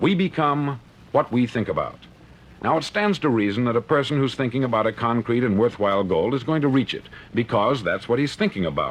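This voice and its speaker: This man has an American accent and an unremarkable speaking voice. He talks fairly quickly at a medium pitch, with lively intonation. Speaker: motivational speaker. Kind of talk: motivational speech. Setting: vintage studio recording.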